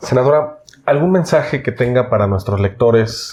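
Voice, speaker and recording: The speaker has a Mexican accent and a somewhat breathy voice. The pace is fairly slow. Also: man. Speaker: interviewer for a publisher. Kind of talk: interview. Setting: on camera.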